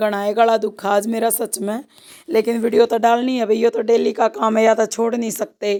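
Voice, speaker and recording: Fairly high pitch from a woman with a dark, mellow tone, fairly even intonation and a fairly slow pace, on a very clean recording with a silent background. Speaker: rural vlogger, housewife. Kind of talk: casual vlog narration.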